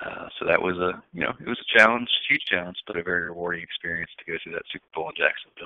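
Speaking at a very fast pace with an American accent, a man barely pauses. His loudness swings widely. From US, Washington D.C. area. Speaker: sports executive. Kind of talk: interview.

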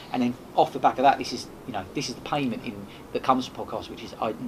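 Noticeable background noise surrounds the recording. A man talks through it at a very fast pace. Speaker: podcaster and event host. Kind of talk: casual interview chat.

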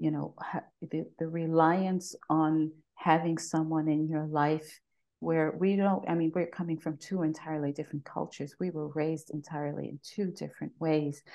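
Monotone, flat intonation at a moderate pace, in a New York accent. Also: woman, very deep, low pitch for a woman. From New York City (Bronx). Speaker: podcast guest. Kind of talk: casual interview. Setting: video call.

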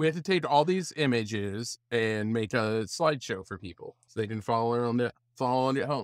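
With a plain, everyday voice, a man in an American accent talks at a moderate pace with lively intonation and hardly any pauses, the sound dry and close with no echo. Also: medium pitch for a man. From upstate New York. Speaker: podcast co-host. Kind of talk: casual chat.

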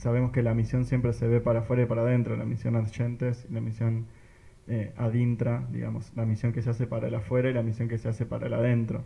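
Somewhat breathy and dark, mellow in tone, the voice races along at a very fast pace in a flat monotone. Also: man, medium pitch for a man. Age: 20s. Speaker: parish youth missionary. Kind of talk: casual group chat.

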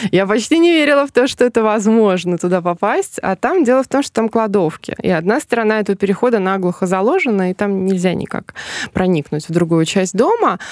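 Speaking at a very fast pace, a woman with a medium pitch uses lively intonation. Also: dry, close sound with no echo. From Smolensk region, Russia. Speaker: tour guide and journalist. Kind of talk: casual chat. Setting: studio. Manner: talkative.

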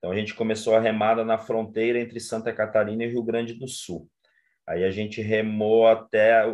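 At a moderate pace, a man speaks in a plain, everyday voice of medium pitch. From Brazil, interior of Paraná. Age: 40s. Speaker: social project coordinator. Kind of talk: interview. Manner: casual, conversational.

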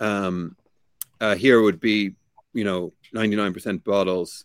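A man with a Limerick accent speaks fairly slowly at a fairly low pitch, his intonation monotone and flat. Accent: Irish (Limerick). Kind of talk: interview.

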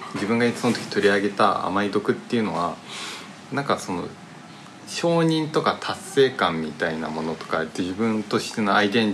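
A man talks in a fairly low pitch with lively intonation. He keeps a moderate pace. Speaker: podcast host. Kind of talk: casual chat. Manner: poor articulation.

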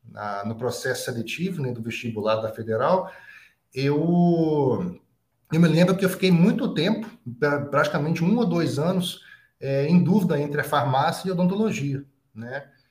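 A man speaks at a moderate pace with a fairly high pitch. His intonation is lively, and the room echo is audible. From Brazil, Minas Gerais (Juiz de Fora, Zona da Mata). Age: 40s. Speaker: dentist, endodontist. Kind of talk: casual interview.

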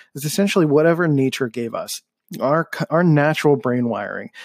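This man's animated voice is fairly high and moves at a fairly quick pace. The sound is dry and close with no echo, and the recording is very clean over a silent background. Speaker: podcast host. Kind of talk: solo podcast monologue. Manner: monotone; a little animated.

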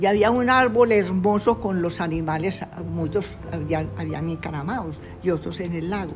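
The woman's moderately paced speech comes with audible room echo and noticeable background noise. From Colombia, Medellín (Antioquia). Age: 90s. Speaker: painter. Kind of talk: life-story interview. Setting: at home. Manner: halting.

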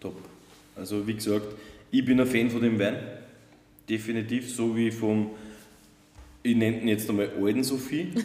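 Audible room echo surrounds a man speaking at a moderate pace with long, frequent pauses. His medium-pitched voice has a dark, mellow tone and fairly even intonation. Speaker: wine podcast host. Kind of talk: casual chat. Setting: winery sales room.

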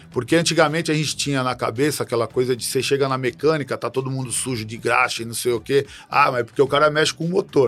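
Very fast and with hardly any pauses, a man speaks at a medium pitch with fairly even intonation. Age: old. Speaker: samba school president and businessman. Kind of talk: interview conversation. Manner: halting, with repetitions.

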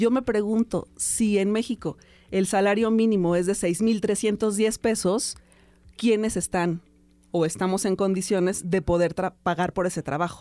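On a very clean recording with a silent background, a woman speaks at a medium pitch in a dark, mellow tone, with very even loudness and fairly even intonation. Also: fairly slow pace. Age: 40s. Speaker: radio host. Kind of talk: casual chat.

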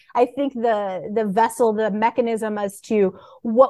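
This woman has a normal speaking voice, fairly high in pitch with ordinary pitch variation. The recording is dry and close, with no echo. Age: 30s. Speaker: data visualization expert. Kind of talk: casual chat.

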